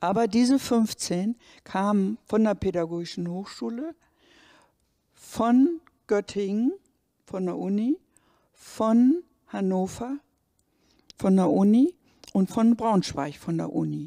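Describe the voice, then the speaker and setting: A very slow pace with long, frequent pauses, a dark, mellow tone and a quiet background. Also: woman. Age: 70s. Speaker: retired university administrator; interviewee, witness. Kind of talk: interview. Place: hall. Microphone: handheld.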